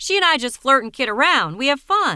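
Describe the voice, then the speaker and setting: A woman's put-on character voice, high-pitched with very wide pitch swings, in a very clean recording with a silent background. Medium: read story. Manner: casual, offhand.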